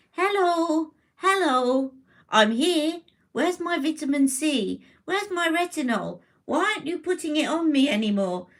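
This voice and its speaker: The voice is a put-on character voice with a high pitch. It moves at a moderate pace. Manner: playful, whiny.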